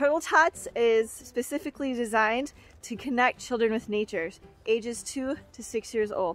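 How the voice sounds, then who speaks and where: With a high pitch and ordinary pitch variation, a woman speaks at a moderate pace, the sound dry with no echo and faint music in the background. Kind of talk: promotional program intro. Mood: friendly, upbeat. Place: forest. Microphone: phone near.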